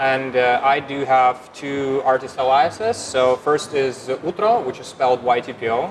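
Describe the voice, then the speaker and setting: Over noticeable background noise, a man with a Russian accent talks at a moderate pace and medium pitch, with ordinary pitch variation and hardly any pauses. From Ukraine, Kyiv. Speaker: DJ and music producer. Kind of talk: casual interview. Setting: music event venue. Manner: halting.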